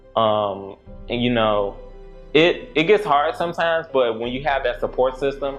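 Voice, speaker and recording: A fairly high-pitched man delivers his words with lively intonation while music plays in the background. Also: moderate pace. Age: 20s. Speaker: crime victim sharing his story in a docuseries. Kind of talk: casual talk to camera, reflective personal story.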